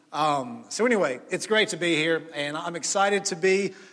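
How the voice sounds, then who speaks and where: A man's loud, high voice in a Mississippi accent, at a moderate pace with ordinary pitch variation. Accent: Mississippi Southern US. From US South, Jackson, Mississippi. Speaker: pastor. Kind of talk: sermon. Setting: church.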